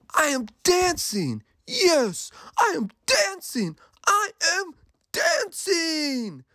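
In a put-on character voice, a man speaks very slowly at an extremely high pitch, with very wide pitch swings and a bright, sharp tone.

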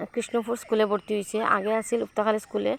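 A woman's fairly high-pitched voice. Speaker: vlogger. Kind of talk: casual vlog narration. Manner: voiceover recorded just after waking.

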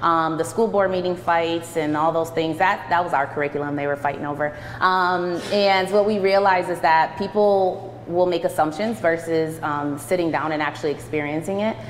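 A woman with an American accent speaks at a moderate pace with a fairly low pitch and fairly even intonation. Noticeable background noise and audible room echo are present. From Rochester, New York. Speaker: teacher and educational leader. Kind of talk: presentation to an audience. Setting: church hall with audience.

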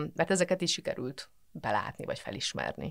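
A woman talks at a very fast pace against a quiet background. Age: 40s. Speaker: physicist and mental health professional; podcast guest. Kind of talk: casual interview chat. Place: studio.

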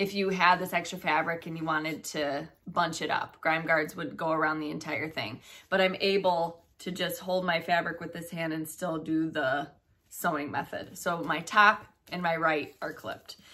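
A woman with a plain, everyday voice, at a moderate pace, fairly low pitch and fairly even intonation. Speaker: cross stitch video co-host. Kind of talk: tutorial. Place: home room. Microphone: camera far.

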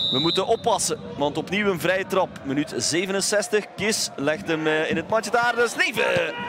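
An excited tone and lively intonation carry this fairly slow speech in a Flemish accent. Noticeable background noise runs underneath. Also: man. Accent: Belgian Dutch (Flemish). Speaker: football match commentator. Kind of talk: live sports commentary. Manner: excited exclamations on chances and goals.

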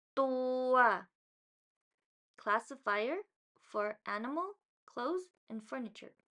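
A woman speaks in a bright, sharp tone. Her pitch is high, with ordinary variation. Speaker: Thai language teacher. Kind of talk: vocabulary tutorial read aloud. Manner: repetitive, each word said twice.

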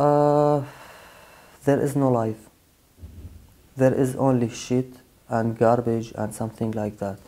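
A man talks at a very slow pace, leaving long, frequent pauses. His tone is dark and mellow, his intonation fairly even. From Syria. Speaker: asylum seeker; interviewee. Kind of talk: interview testimony; interview answer. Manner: halting. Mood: subdued, serious. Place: studio.

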